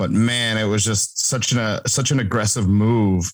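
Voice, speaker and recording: A man with an ordinary speaking voice talks at a moderate pace, at a medium pitch and with fairly even intonation. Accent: American. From Wisconsin, US Upper Midwest. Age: 30s. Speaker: podcast host and former off-road racer. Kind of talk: casual interview chat.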